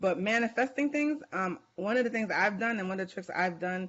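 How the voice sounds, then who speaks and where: A woman talks at a fairly quick pace with a New York accent. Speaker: author and life coach. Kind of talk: podcast interview. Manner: halting.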